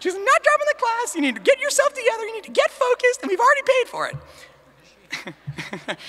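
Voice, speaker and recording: In a put-on character voice, a female-sounding voice speaks at a fairly quick pace with an extremely high pitch. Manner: stern, scolding.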